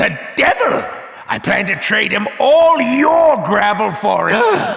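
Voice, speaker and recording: Using a put-on character voice, a man pushes his pitch extremely high. He speaks at a fairly slow pace. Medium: machinima.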